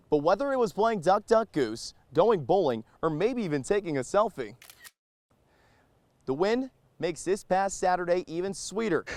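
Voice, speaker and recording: A man at a high pitch, moderate pace, very wide pitch swings, long and frequent pauses, dry and close sound with no echo. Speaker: sports anchor and reporter. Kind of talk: TV sports news highlights.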